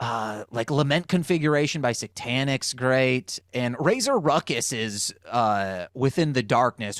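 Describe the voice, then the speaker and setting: A man with an ordinary speaking voice and medium pitch talks at a fairly slow pace with hardly any pauses. The recording is very clean, with a silent background and a dry, close sound with no echo. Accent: American. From Michigan, US (Muskegon). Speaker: rapper and music producer. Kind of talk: casual podcast chat.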